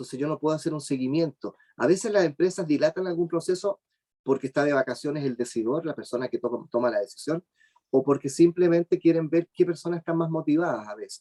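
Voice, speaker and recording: A man with a Chilean accent speaks at a fairly quick pace in a high voice with a dark, mellow tone. The sound is dry and close, with no echo. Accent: Chilean, drops the s sounds. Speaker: job search speaker. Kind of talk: webinar talk. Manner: fast.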